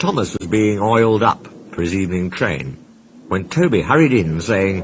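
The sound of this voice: The speaker uses an unforced reading voice with lively intonation.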